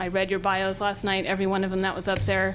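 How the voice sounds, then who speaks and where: Someone with an American accent speaks at a very fast pace, with audible room echo. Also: woman. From northern California (Willits). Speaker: public commenter. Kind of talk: public comment at county meeting. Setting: public meeting hall.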